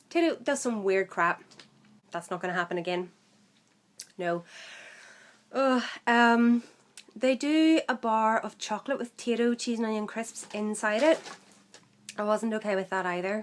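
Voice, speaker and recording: A woman with a Northern Irish accent, fairly high in pitch with ordinary variation, at a moderate pace broken by long, frequent pauses. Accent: Northern Irish, mild. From Northern Ireland. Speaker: vlogger. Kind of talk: casual vlog. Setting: home room, workmen outside. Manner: hesitant, many fillers.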